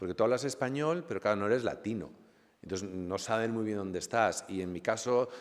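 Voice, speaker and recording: Fairly low in pitch with ordinary variation, a man speaks at a fairly quick pace on a very clean recording with a silent background. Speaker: novelist. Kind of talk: book presentation talk. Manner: halting with fillers.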